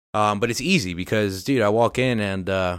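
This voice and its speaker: A man speaks in an ordinary speaking voice, fairly low in pitch, with ordinary pitch variation. The recording is very clean and the background is silent. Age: 20s. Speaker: podcast host. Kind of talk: casual chat.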